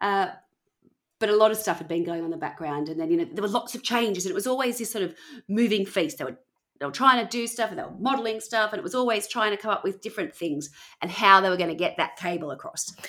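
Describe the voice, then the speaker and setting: In an Australian accent, a woman with a medium pitch and a bright, sharp tone talks at a very fast pace with lively intonation. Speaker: podcast host. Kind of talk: casual storytelling chat.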